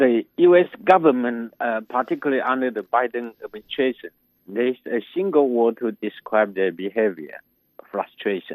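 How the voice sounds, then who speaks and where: A man speaks in an ordinary speaking voice at medium pitch, with lively intonation and a moderate pace. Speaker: economics professor. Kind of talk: interview answers.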